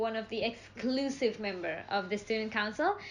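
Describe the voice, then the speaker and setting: A woman speaks at a moderate pace with an Indonesian accent, a fairly high pitch and a bright, sharp tone. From Indonesia (Java). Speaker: international student. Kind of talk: casual chat.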